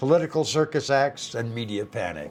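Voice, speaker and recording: A man with a normal speaking voice, medium pitch and a moderate pace. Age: 60s. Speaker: retirement lifestyle YouTuber. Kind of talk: casual talk to camera. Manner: folksy, humorous.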